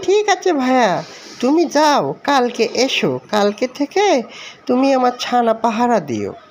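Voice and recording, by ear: In a cartoonish character voice, the speaker talks at a fairly slow pace with a fairly high pitch.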